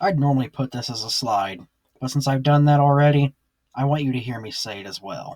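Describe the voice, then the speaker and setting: A somewhat breathy voice with a Southern accent moves at a fairly quick pace. The sound is dry and close, with no echo. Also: man. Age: 20s. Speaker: youtuber. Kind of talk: vlog monologue. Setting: small closet. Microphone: cheap headset.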